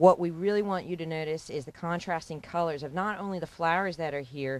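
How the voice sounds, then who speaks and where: In a normal speaking voice, a woman talks at a fairly quick pace with fairly low pitch and fairly even intonation. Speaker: garden center staff. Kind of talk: infomercial product explanation.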